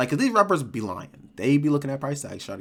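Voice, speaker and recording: A man with a medium-pitched voice talks at a very fast pace. His tone is animated. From Rochester, New York. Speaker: streamer reacting to videos. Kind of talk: casual reaction commentary. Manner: animated, filler-heavy.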